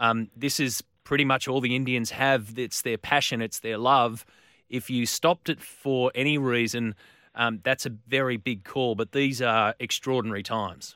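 A man with an Australian accent speaks at a medium pitch in a bright, sharp tone, on a very clean recording with a silent background and a dry, close sound with no echo. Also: fairly even intonation, moderate pace. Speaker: sports radio host. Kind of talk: radio talk show.

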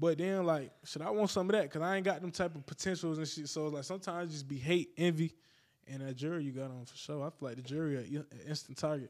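With an American accent, a man speaks at a very fast pace in a fairly high pitch with ordinary pitch variation, on a very clean recording with a silent background. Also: big swings in loudness. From upstate New York, Niagara Falls. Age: 20s. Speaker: rapper. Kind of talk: casual chat.

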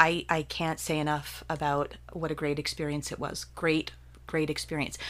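Vocal fry in an American accent at a moderate pace, on a very clean recording with a silent background. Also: woman. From central New Jersey. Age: 50s. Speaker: poet and visual artist. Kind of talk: casual interview. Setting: at her home.

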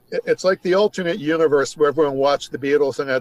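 Over noticeable background noise, a man talks at a very fast pace in a fairly high pitch with ordinary pitch variation, the sound dry and close with no echo. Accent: American. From New York State. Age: 60s. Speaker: music writer. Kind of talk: casual chat. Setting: remote call.

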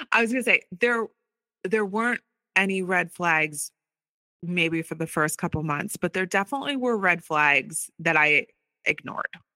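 A woman's normal speaking voice with an American accent, fairly low in pitch, at a moderate pace with lively intonation. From US, Philadelphia area. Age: 40s. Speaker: abuse survivor and author. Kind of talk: personal testimony.

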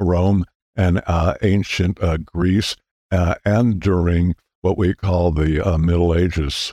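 A man with an American accent speaks at a very deep, low pitch. The recording is very clean with a silent background, and the sound is dry and close with no echo. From California. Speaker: physicist and solar historian. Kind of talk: casual interview. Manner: halting, many fillers.

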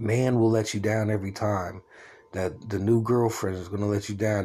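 A man speaks with a dark, mellow tone at a fairly low pitch. His intonation is flat and monotone. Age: 40s. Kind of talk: personal religious monologue. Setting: at home, solo recording. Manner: rambling casual with fillers.

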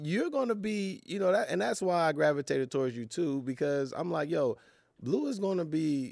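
An unremarkable speaking voice in an American accent, with lively intonation at a moderate pace. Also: man, fairly high pitch for a man. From Los Angeles. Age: 30s. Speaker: actor. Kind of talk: casual chat.

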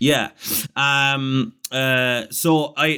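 A man talks with an Irish accent at a fairly high pitch. His tone is bright and sharp. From Ireland. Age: 30s. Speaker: comedian. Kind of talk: casual chat.

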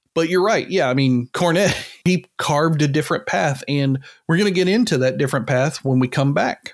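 A man's fairly high voice with lively intonation at a fairly quick pace, music in the background. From Kentucky. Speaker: wrestling podcast host. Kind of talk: casual chat.

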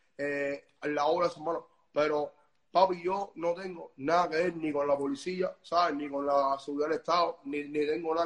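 Speaking in a Cuban accent, a man with a fairly high pitch keeps a moderate pace and a monotone, flat intonation. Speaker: music promoter. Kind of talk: casual interview. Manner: halting, with many repetitions.

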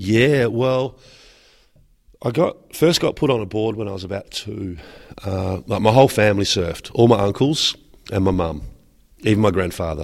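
A man with an Australian accent speaks at a moderate pace with lively intonation and long, frequent pauses, in a very clean recording with a silent background. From Western Australia. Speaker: surfboard builder and entrepreneur. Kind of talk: interview. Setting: trade show.

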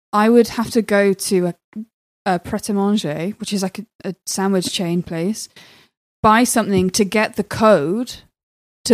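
A woman speaks at a fairly slow pace with a medium pitch and fairly even intonation. The sound is dry and close with no echo, a very clean recording with a silent background. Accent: southern English. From southwest England, Swindon. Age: 20s. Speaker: comedian. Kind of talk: casual chat.

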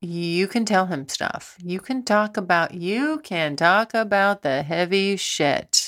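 A woman's medium-pitched voice, very slow yet with hardly any pauses, lively in intonation, on a very clean recording with a silent background. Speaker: sex and relationships podcast host. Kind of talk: casual monologue answering listener questions. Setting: home recording. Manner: rambling, halting with many fillers.

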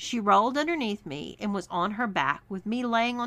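Reading in an unforced reading voice, the speaker shows ordinary pitch variation.

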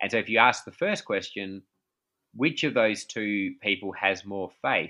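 Speaking fairly slowly with an Australian accent, a man has a bright, sharp tone, lively intonation and a fairly low pitch. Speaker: pastor and author. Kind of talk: interview conversation. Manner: hesitant, many fillers.

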